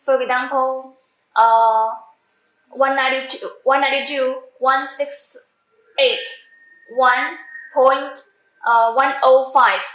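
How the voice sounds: Slow speech with long, frequent pauses, fairly even intonation, a fairly bright tone and audible room echo. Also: woman, high pitch for a woman.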